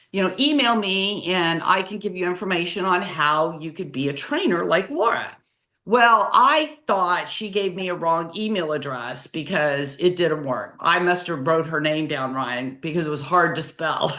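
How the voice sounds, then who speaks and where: Using a normal speaking voice, a woman with a fairly low pitch talks at a moderate pace with lively intonation and hardly any pauses. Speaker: accountant and webinar host. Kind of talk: casual chat.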